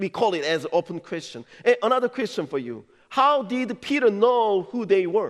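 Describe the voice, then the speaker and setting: A man speaks at a moderate pace with a Korean accent, his high voice full of lively intonation against a quiet background. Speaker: pastor. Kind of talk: sermon. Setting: church.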